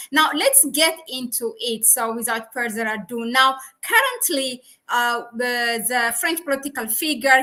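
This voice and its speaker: A woman with a non-native accent talks at a fairly slow pace, her high-pitched voice bright and sharp in tone with ordinary pitch variation. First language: not English. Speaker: YouTube channel host, researcher. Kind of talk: live-streamed interview. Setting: live stream.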